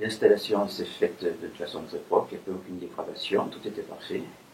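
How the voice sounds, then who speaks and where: There is noticeable background noise. Through it, a man talks at a fairly quick pace. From France, Limoges. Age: 80s+. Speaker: retired bank employee, customer. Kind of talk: testimony. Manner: halting.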